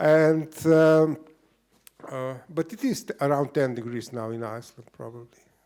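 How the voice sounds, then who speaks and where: With a Slavic accent, a man speaks at a moderate pace in a fairly high pitch. His pitch variation is ordinary, but his loudness swings a lot. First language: Slovenian. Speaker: writer and event moderator. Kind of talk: interview at a book event.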